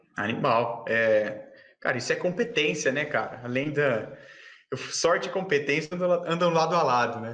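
Amid noticeable background noise and audible room echo, a man speaks with lively intonation in a fairly high voice. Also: moderate pace. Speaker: swimming channel host. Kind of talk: casual interview. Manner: animated.

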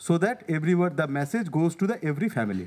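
This is a man speaking at a high pitch. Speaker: government administrator. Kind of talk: presentation. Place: meeting room. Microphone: podium.

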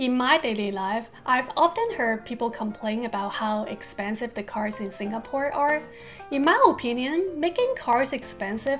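A woman with a high pitch talks at a moderate pace with ordinary pitch variation, faint music playing in the background. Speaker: vlogger. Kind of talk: casual vlog chat. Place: home room.

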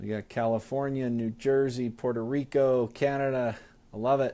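A man speaks at a moderate pace with a dark, mellow tone. His intonation is monotone and flat. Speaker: sales team trainer. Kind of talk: live stream training talk. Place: office. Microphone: earbuds.

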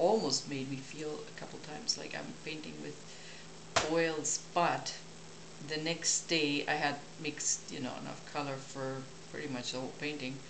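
There is noticeable background noise behind this woman. She speaks with a non-native accent in a very deep, low pitch and a monotone, flat intonation. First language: not English. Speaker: painter. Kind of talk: casual talk while working. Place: home room.

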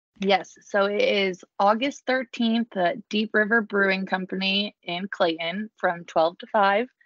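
A woman speaks at medium pitch in an ordinary speaking voice, with fairly even intonation and a fairly slow pace. She leaves hardly any pauses, and the sound is dry and close with no echo. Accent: American. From New Jersey. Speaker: small business owner. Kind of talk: casual interview.

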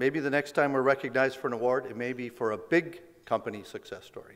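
A man talks at a fairly quick pace in a medium pitch with a fairly bright tone. His pitch varies in an ordinary way.

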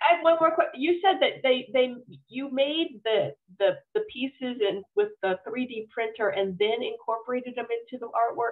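Against a quiet background, a woman speaks at a fairly quick pace with a high pitch. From US South. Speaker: nature program host. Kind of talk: online event moderation. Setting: video call. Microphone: video call.

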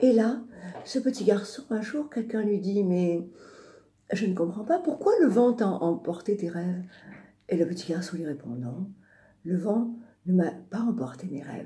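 A woman speaks at a medium pitch and a fairly slow pace, her tone dark, mellow and somewhat breathy. Her pitch swings very widely, her loudness swings a lot, and her pauses are long and frequent. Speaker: radio storyteller and singer. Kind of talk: storytelling on radio. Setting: radio studio.

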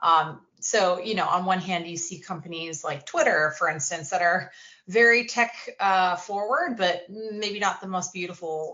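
A woman with an American accent, fairly low pitch, ordinary pitch variation and a moderate pace. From Maine, US. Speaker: design studio founder. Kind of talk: interview. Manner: hesitant, many fillers.

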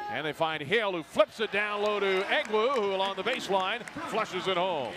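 A man's animated tone comes through noticeable background noise. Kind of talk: live sports commentary. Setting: basketball game broadcast. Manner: rapid-fire play-by-play, animated, pitched up on big shots; chatty, laughs at odd plays.

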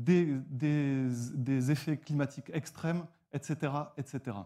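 A dark, mellow tone with ordinary pitch variation comes through against a quiet background. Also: man. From southwestern France, near Toulouse; southwestern France. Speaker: nonprofit founder. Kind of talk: pitch presentation. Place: stage. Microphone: lapel.

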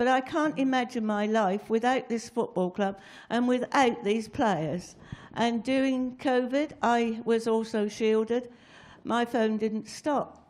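A woman speaks at a fairly slow pace with a fairly high pitch. Her loudness is very even, and her pitch varies in an ordinary way. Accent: English. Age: 80s+. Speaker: long-serving football club secretary. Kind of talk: anecdotal storytelling. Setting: stage with audience. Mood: warm, reminiscing. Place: studio. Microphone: handheld.

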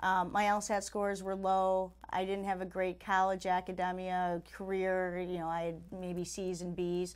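A woman speaks with an American accent. Her intonation is flat and monotone, with hardly any pauses. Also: medium pitch for a woman, fairly slow pace. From Chicago, US Midwest. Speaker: lawyer and judicial candidate; candidate. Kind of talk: interview. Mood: earnest, promotional. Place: studio.

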